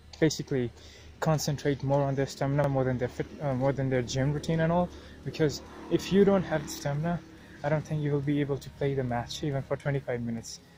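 A man talks at a very fast pace with fairly even intonation, his voice somewhat breathy and dark, mellow in tone. The sound is dry with no echo, and there is light background noise. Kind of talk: casual vlog chat. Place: open country. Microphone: earbuds.

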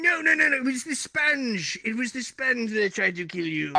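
A cartoonish character voice carries the clip. It moves at a moderate pace. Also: man, extremely high pitch for a man. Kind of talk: cartoon voice impression. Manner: gruff, bossy.

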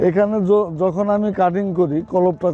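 In a dry sound with no echo, a man speaks at a high pitch. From Bangladesh, Sherpur district; Bangladesh. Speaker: lemon farmer. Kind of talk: interview answers. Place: farm.

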